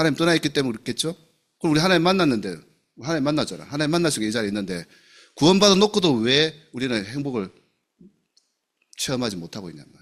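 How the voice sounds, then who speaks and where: Speaking at a very fast pace yet with long, frequent pauses, a man with fairly high pitch and vocal fry shows very wide pitch swings and big swings in loudness. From South Gyeongsang, Namhae county, Korea. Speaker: pastor. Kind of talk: sermon. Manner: animated.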